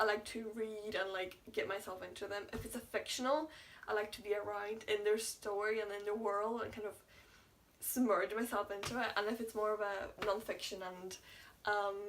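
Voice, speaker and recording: At a moderate pace, a woman speaks in a fairly high voice with monotone, flat intonation. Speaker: YouTuber. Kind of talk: casual vlog chat. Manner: mumbling.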